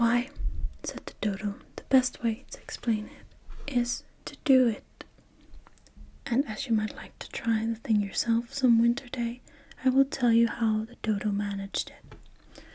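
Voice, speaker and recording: A soft-spoken, gentle voice, fairly slow and monotone, with flat intonation and long, frequent pauses. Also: woman, fairly high pitch for a woman. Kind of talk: soft-spoken ASMR bedtime story reading. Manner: soft-spoken, gentle, slow.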